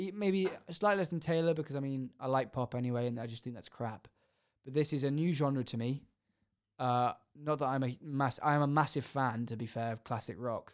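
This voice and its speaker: Ordinary pitch variation marks a man's plain, everyday voice in a very clean recording with a silent background. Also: fairly high pitch for a man, fairly quick pace. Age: 20s. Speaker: podcast co-host. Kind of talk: casual chat.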